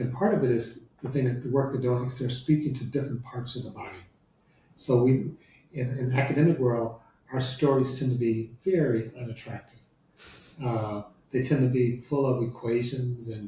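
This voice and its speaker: A man with an American accent speaks at medium pitch in a somewhat breathy voice, his intonation fairly even. He keeps a moderate pace broken by long, frequent pauses. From US Midwest, Detroit. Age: 70s. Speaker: law professor. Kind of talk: interview conversation.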